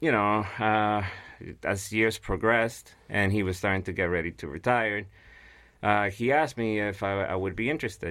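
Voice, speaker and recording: A man with a Guatemalan accent, fairly low in pitch and bright and sharp in tone, at a moderate pace, in a very clean recording with a silent background. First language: Spanish. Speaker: piano mover. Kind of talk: casual interview.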